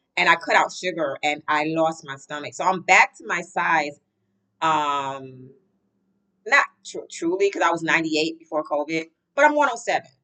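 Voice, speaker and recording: A woman with an unremarkable speaking voice, fairly low in pitch, talks at a moderate pace with ordinary pitch variation and big swings in loudness. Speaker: vlogger. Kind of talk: casual vlog chat. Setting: at work, on camera. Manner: rambling, conversational.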